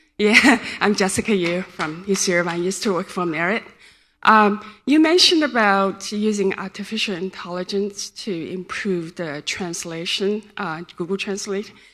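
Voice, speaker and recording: A bright, sharp voice in a Chinese accent, at a moderate pace with ordinary pitch variation. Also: woman, medium pitch for a woman. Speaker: audience member, network engineer. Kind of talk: audience question. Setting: conference hall with audience.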